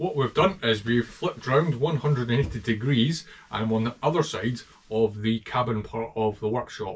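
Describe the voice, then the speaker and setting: A man with a strong Scottish accent, somewhat breathy, with ordinary pitch variation. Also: moderate pace. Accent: thick Scottish. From Scotland. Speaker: motorcycle restorer. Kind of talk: casual talk to camera. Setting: workshop. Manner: humorous. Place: workshop. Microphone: camera far.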